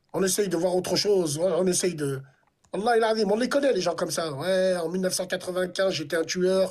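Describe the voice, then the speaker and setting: Here a man talks in a high pitch. He keeps a moderate pace. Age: 40s. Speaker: live stream host. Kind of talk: heated debate. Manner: animated.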